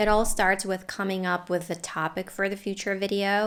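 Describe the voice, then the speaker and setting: A woman with a non-native accent at a medium pitch, on a very clean recording with a silent background. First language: not English. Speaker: family YouTuber and English teacher. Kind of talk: scripted tutorial. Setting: home filming room.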